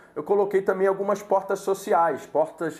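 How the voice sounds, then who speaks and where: A man speaks with a high-pitched voice. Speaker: sales course instructor. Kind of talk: online lecture.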